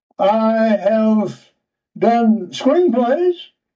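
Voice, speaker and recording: His intonation rises and falls in a lively way. The man has an American accent. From US South. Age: 80s+. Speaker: writer and retired geologist. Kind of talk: interview.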